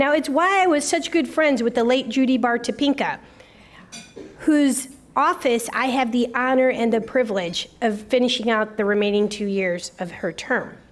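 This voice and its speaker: A woman speaks at a moderate pace in a high pitch. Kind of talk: public speech. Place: hall. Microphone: podium.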